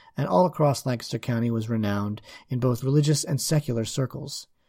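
An ordinary speaking voice moves at a fairly quick pace. The recording is very clean, with a silent background. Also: man. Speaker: podcast host. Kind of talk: interview conversation.

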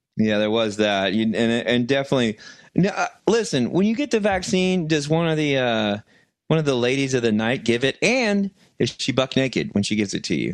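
Against a quiet background, a man speaks in an animated tone at a fairly quick pace, his pitch swinging very widely while his loudness stays very even. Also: medium pitch for a man. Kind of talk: casual comedy banter. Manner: animated, joking.

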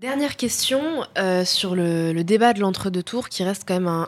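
A woman has an ordinary speaking voice, with a medium pitch, ordinary pitch variation and a moderate pace. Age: 20s. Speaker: podcast host. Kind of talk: interview.

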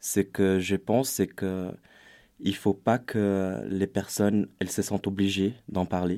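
A man's very deep, low voice with a dark, mellow tone, a Portuguese accent and a very slow pace. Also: very clean recording, silent background. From Brazil. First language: Portuguese (speaking French). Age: 20s. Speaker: youth volunteer. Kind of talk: panel discussion.

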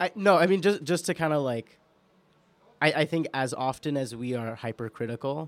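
On a very clean recording with a silent background, a man with a New York accent speaks at a moderate pace, medium in pitch with ordinary pitch variation. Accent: New York American. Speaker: podcast producer and guest co-host. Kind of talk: casual chat. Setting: studio.

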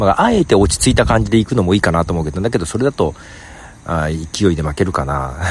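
This man's very deep, low voice makes very wide pitch swings at a very fast pace. There is noticeable background noise behind him. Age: 50s. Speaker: podcaster. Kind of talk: casual monologue. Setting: outdoors in a park.

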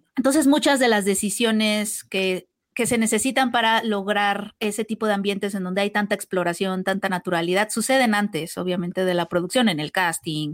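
At a fairly quick pace with hardly any pauses and ordinary pitch variation, the speech sits on a very clean recording with a silent background. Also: woman, medium pitch for a woman, dry, close sound with no echo. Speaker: film podcast co-host. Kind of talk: casual chat.

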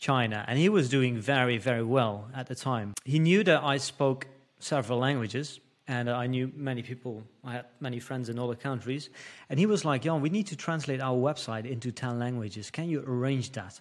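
Talking at a fairly quick pace, a man with a Dutch accent uses a medium pitch and ordinary pitch variation. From Netherlands. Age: 30s. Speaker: entrepreneur. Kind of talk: casual interview. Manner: halting.

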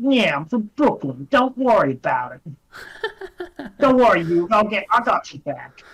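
A female-sounding put-on character voice, fairly high in pitch, moves at a fairly slow pace with hardly any pauses.

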